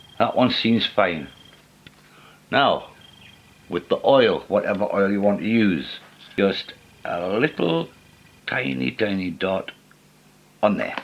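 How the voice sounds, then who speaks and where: A man talks very slowly, with long pauses coming often. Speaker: model railway hobbyist. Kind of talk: how-to tutorial talk to camera.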